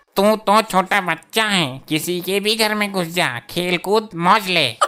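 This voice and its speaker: A high-pitched man in a cartoonish character voice, raised and projected. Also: moderate pace, ordinary pitch variation. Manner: stern, commanding.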